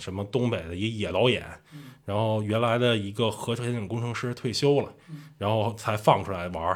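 In a Beijing accent, a man speaks at a medium pitch and a fairly quick pace. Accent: Beijing Mandarin. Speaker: traveler and video creator. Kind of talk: casual storytelling. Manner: animated.

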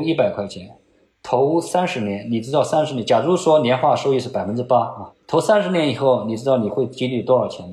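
The voice is dark, mellow and somewhat breathy, moving at a fairly quick pace. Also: man. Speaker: finance professor. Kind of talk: interview. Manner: many filler particles; repeats words, halting.

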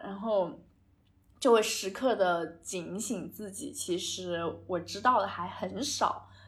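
Audible room echo surrounds a woman speaking at a very slow pace. Her intonation is lively. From China. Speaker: podcast co-host. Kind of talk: casual chat.

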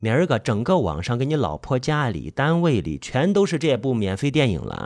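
The reading aloud is done in a natural voice with lively intonation.

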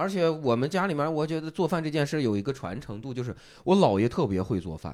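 A man speaks very fast at a fairly high pitch, with very wide pitch swings. The recording is very clean, with a silent background. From Shanxi, Taiyuan. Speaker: stand-up comedian and comedy writer. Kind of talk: casual chat.

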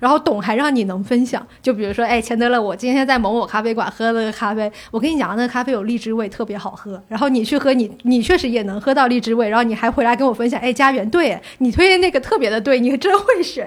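A woman with a Fujian accent rushes along at a very fast pace with hardly any pauses, using a high pitch and ordinary pitch variation. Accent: southern Chinese (Fujian). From Fujian, China. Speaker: coffee industry worker. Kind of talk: casual chat.

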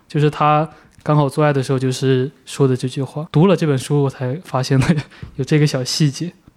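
The man's fairly high voice runs at a fairly quick pace, flat and monotone in intonation, with big swings in loudness. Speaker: podcast host, film magazine editor. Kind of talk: casual film discussion.

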